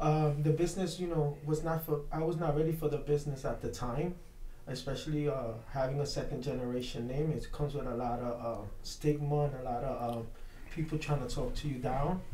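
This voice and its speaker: Over noticeable background noise and audible room echo, a man with a New York accent talks at a fairly quick pace in a fairly high pitch with fairly even intonation. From Brooklyn, New York (Williamsburg). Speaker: pro wrestler. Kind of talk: radio interview.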